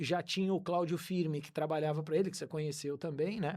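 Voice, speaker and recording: High-pitched for a man, this male voice holds fairly even intonation in a very clean recording with a silent background. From Brazil, interior of São Paulo state. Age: 50s. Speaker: real estate agent. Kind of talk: podcast interview.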